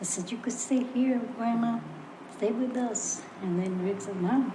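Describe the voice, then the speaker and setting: In a room with audible echo and noticeable background noise, a woman speaks at a moderate pace in a fairly high pitch with ordinary pitch variation. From Puerto Rico. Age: 80s+. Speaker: podcast guest, grandmother. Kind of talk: casual chat.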